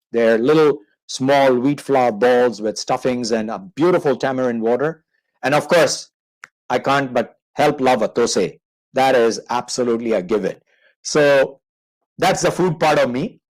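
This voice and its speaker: A man with a South Asian accent speaks at a medium pitch and a fairly slow pace. His pitch varies in an ordinary way. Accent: South Asian-sounding. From Manchester, England then Indian subcontinent. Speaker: marketing consultant. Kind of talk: interview on a live online show. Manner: conversational, with fillers.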